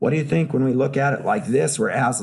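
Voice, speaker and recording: Somewhat breathy, a man speaks at medium pitch with lively intonation. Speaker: professor. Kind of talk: lecture. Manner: conversational, interactive.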